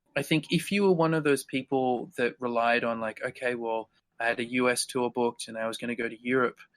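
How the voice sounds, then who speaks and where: At a fairly quick pace, a man with an Australian accent speaks at a medium pitch with ordinary pitch variation. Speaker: guitarist. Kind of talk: casual chat.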